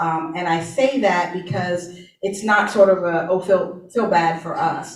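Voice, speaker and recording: Fairly slow pace and fairly even intonation, with audible room echo. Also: woman. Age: 60s. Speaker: childcare center director. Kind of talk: panel discussion.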